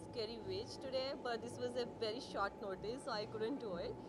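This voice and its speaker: A woman speaks at a moderate pace with ordinary pitch variation. Loud background noise runs underneath. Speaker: guest. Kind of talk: interview answer. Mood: excited, cheerful. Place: hall. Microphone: handheld.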